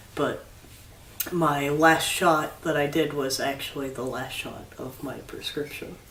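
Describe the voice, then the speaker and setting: A man talks at a fairly high pitch in monotone, flat intonation. Audible room echo and noticeable background noise fill the recording. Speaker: video blogger. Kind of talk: casual chat. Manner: halting.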